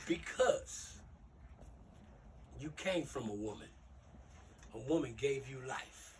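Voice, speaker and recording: A man speaks very slowly with long, frequent pauses and big swings in loudness, with audible room echo. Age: 60s. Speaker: youth mentor, former gang member. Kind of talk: motivational talk to youth.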